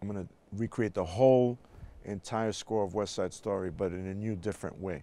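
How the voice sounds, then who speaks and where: A man with a New York accent speaks at a fairly low pitch. His tone is dark and mellow, his intonation fairly even. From New York City, South Bronx. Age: 60s. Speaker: jazz bandleader and music educator. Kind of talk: interview conversation.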